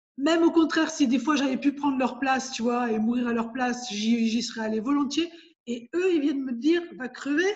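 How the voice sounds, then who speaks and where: Ordinary pitch variation marks this woman's high voice as she speaks at a fairly quick pace. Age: 60s. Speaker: cancer patient. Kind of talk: casual chat.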